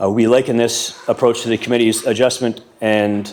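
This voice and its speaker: This man talks at a fairly quick pace with a medium pitch. His intonation stays fairly even. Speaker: delegate for short-term rental hosts association. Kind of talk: council delegation presentation. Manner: fast.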